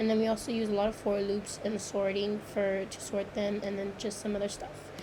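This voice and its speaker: Delivered at a fairly quick pace, the speech has a monotone, flat intonation against noticeable background noise. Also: woman, medium pitch for a woman. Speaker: computer science student. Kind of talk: screen-recorded code walkthrough. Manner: hesitant, many fillers.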